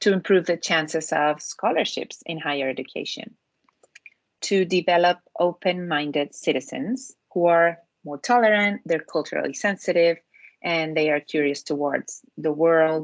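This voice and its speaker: With a Spanish accent, a woman speaks at a fairly low pitch with ordinary pitch variation. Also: moderate pace, dry, close sound with no echo. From Spain. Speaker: education program consultant. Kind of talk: online presentation to parents.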